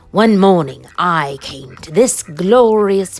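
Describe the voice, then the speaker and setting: In a put-on character voice, the speaker moves at a very slow pace. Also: woman. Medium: read story.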